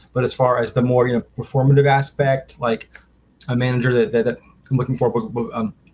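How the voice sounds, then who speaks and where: The speaker has an American accent, a somewhat breathy voice, and monotone, flat intonation. The pace is fairly quick, broken by long, frequent pauses. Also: man, medium pitch for a man. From Maryland, US. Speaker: filmmaker and trivia competitor. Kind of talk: interview. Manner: halting, many fillers.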